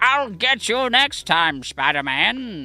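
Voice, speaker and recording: Faint music plays behind a put-on character voice that moves very slowly at a fairly high pitch with very wide pitch swings. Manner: gruff threatening.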